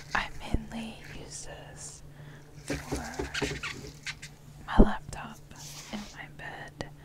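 Speech comes at a very slow pace, broken by long, frequent pauses. Loud noise fills the background. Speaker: ASMR creator. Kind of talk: ASMR product demonstration. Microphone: phone near.

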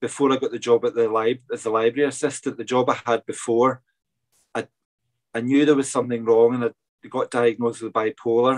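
A man with a Scottish accent and fairly even intonation, against a quiet background. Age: 40s. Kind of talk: interview. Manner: hesitant, many fillers. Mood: open, reflective. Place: home room. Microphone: video call.

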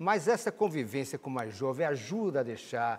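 A man speaks at a fairly quick pace, his pitch fairly high. His intonation is lively. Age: 60s. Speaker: TV morning show host. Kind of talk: TV studio interview. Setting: TV studio. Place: studio. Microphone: lapel.

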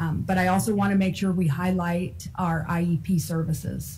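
Over light background noise, a woman with a fairly low pitch and a somewhat breathy voice speaks at a moderate pace. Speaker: school board member. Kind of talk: public meeting. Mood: concerned, earnest. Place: meeting room. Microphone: podium.

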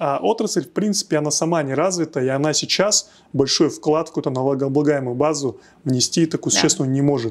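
A man's fairly high voice rushes along very fast, its pitch varying in an ordinary way. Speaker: tech hub executive; guest. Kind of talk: podcast interview. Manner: hesitant, many fillers. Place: studio. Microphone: lapel.

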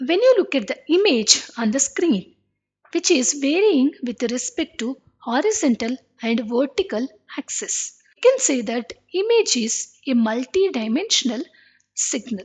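A woman speaks at a high pitch with very wide pitch swings. Her speech has long, frequent pauses. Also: moderate pace. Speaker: engineering lecturer. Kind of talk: lecture. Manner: formal.

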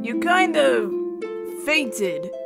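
Over clear background music, a woman does a put-on character voice at a high pitch, very slowly, with vocal fry and big pitch swings.

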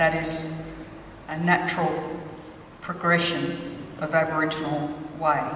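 A woman speaks at a fairly slow pace with a very deep, low pitch and monotone, flat intonation, leaving long, frequent pauses. Audible room echo and light background noise are present. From Sydney, Australia (Alexandria). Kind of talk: ceremonial welcome speech. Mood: proud, warm, measured. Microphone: handheld.

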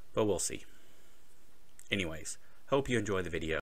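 The voice has a bright, sharp tone with light background noise behind it. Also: man. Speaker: vlogger. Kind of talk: casual vlog chat. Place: home room. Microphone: studio mic.

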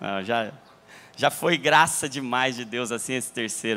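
The man's tone is bright and sharp. He speaks at a fairly slow pace. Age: 30s. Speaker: pastor. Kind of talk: sermon. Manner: animated. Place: church. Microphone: handheld.

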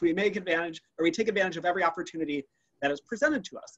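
The man talks at a very fast pace. His pitch is high. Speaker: anthropology museum curator. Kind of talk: virtual museum tour presentation. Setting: video call. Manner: enthusiastic. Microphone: webcam.

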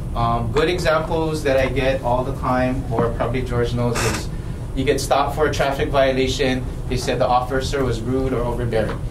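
A man talks at a moderate pace in a medium pitch. His intonation is monotone and flat, with noticeable background noise behind him. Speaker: police officer. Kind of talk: briefing presentation. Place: meeting room.

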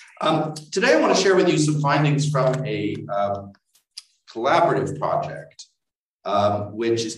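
A man speaks at a moderate pace with lively intonation. Music plays in the background, and audible room echo surrounds him. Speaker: history professor. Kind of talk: lecture.

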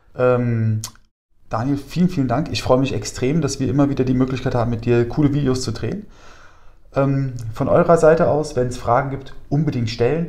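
A man speaks at a moderate pace with ordinary pitch variation and a dark, mellow, somewhat breathy tone. The background is quiet. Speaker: host, emergency medicine video maker. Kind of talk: casual educational chat. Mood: friendly, upbeat. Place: home room. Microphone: lapel.

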